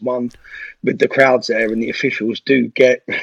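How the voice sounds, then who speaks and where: A man with a London accent talks at a moderate pace, his voice dry and close with no echo. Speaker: former footballer and youth coach. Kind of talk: casual chat.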